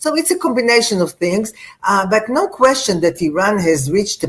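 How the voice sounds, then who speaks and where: A woman speaks at a moderate pace with lively intonation and a somewhat breathy voice. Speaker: security analyst, panel guest. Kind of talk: panel discussion. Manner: halting, many fillers.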